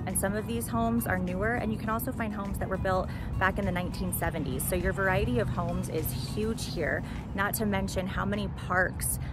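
Over clear background music, a woman talks at a fairly quick pace in a dry sound with no echo. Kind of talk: casual vlog chat. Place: open country.

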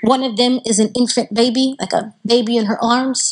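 A woman with a high pitch speaks at a fairly slow pace. The background is quiet. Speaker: Islamic lecturer. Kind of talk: religious lecture. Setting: stage with audience. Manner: animated. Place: hall. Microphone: handheld.

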